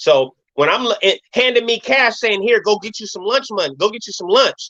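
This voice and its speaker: A man with a high-pitched, raised, projected voice and a bright, sharp tone speaks at a fairly quick pace with lively intonation. The sound is dry and close, with no echo. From Sacramento, California. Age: 40s. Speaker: former prisoner and YouTuber. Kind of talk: interview.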